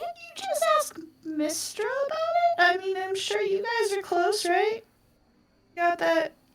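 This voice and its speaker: In a put-on character voice, a woman squeaks at an extremely high pitch, fairly slowly, with lively intonation and big swings in loudness. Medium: actual play. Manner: hesitant, earnest.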